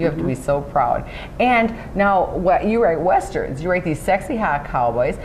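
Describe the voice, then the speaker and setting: A woman at medium pitch, enthusiastic and upbeat, with lively intonation at a moderate pace over noticeable background noise. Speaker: interviewer. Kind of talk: interview questions. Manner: enthusiastic, upbeat.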